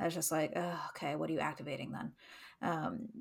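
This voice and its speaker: A woman with a fairly low pitch speaks with vocal fry on a very clean recording against a silent background. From Canada. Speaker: podcast co-host. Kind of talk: casual chat.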